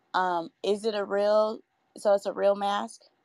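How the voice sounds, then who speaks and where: Here is a woman with an unremarkable speaking voice. Her pitch sits in the medium range. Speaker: mother. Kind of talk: casual chat.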